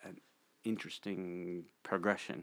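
A man with ordinary pitch variation. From Montana, US. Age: 60s. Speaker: church community member sharing life story. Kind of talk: interview. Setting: studio. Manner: halting.

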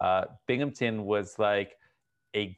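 With an American accent, a man talks in a normal speaking voice. His pitch is fairly low and his intonation fairly even. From New Jersey (Edison). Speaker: city mayor. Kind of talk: interview.

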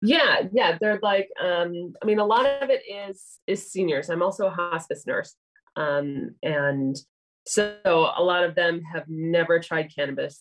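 A fairly low-pitched woman at a fairly slow pace, with a plain, everyday voice. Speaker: cannabis nurse and educator. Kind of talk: casual interview.

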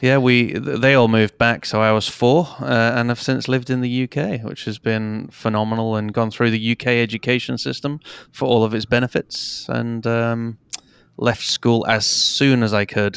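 A man with an English accent talks at a moderate pace and medium pitch, his intonation monotone and flat. The recording is very clean, against a silent background. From England. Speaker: digital marketing podcaster and entrepreneur. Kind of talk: interview conversation.

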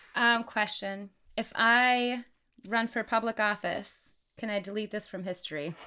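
A woman speaks in a plain, everyday voice, fairly high in pitch with fairly even intonation. She goes at a fairly slow pace in a very clean recording with a silent background. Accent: American. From Wisconsin. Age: 30s. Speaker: podcast guest. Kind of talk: casual chat.

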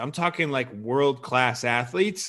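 In a very clean recording with a silent background, a man with an American accent uses a normal speaking voice, fairly high in pitch, at a moderate pace with ordinary pitch variation. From Chicago suburbs. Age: 30s. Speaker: weightlifting coach. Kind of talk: casual chat.

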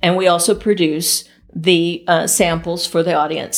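A woman with fairly low pitch speaks in an unremarkable speaking voice on a very clean recording with a silent background. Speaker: festival culinary producer. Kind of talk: casual interview chat.

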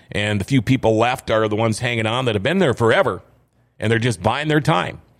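A man with an American accent speaks very fast, his pitch varying in an ordinary way. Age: 50s. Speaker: radio host. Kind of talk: casual interview chat.

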